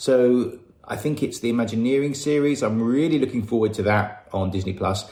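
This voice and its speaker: Medium pitch from a man, in an English accent. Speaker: listener. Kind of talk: recorded voice message. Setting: recorded audio message. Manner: casual.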